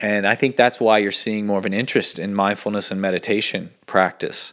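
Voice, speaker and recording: The voice shows ordinary pitch variation on a very clean recording with a silent background. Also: man. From US South, Asheville, North Carolina. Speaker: podcast host, meditation practitioner. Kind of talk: casual solo monologue. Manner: halting, many fillers; off the cuff.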